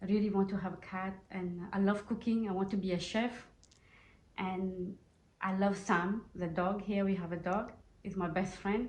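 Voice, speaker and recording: Amid audible room echo, a woman speaks at a moderate pace in a somewhat breathy, medium-pitched voice with monotone, flat intonation. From Mauritius. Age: 30s. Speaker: asylum seeker resident at a shelter. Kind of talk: interview testimony. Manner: halting, non-fluent English.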